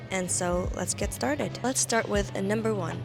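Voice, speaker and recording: Music plays in the background as a woman speaks. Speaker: fashion content creator. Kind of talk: casual talk to camera.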